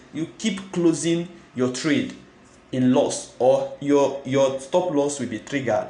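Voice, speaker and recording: A man's fairly high voice at a fairly slow pace, with ordinary pitch variation, audible room echo and noticeable background noise. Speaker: forex trading youtuber. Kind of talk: tutorial.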